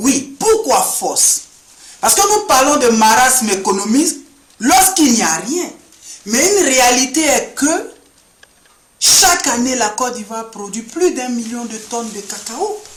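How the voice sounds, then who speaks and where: A man's extremely high pitch with very wide pitch swings and big swings in loudness, at a fairly slow pace with long, frequent pauses. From Ivory Coast. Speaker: sociology student. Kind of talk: address to camera. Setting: indoor room. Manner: formal.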